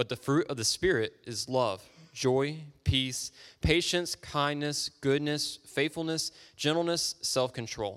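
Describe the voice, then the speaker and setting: On a very clean recording with a silent background, a man with an ordinary speaking voice talks fairly slowly at a medium pitch. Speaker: scripture reader. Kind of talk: reading aloud. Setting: church.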